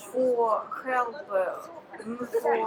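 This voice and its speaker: Over noticeable background noise, a woman with a Ukrainian accent speaks at a high pitch with ordinary pitch variation. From Ukraine. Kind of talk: interview answer. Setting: outdoors.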